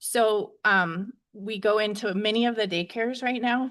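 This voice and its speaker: A woman's shaky voice with fairly even intonation, over a quiet background. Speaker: early childhood educator. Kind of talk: board meeting presentation.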